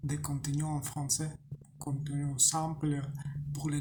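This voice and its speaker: The speech moves at a very slow pace. A non-native accent can be heard. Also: man. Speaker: language learner. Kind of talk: casual talk to camera. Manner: slow, hesitant.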